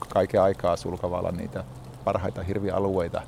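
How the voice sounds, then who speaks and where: Very deep and low, the man's voice moves along at a moderate pace. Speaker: hunting club chairman. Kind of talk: interview. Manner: hesitant with filler words.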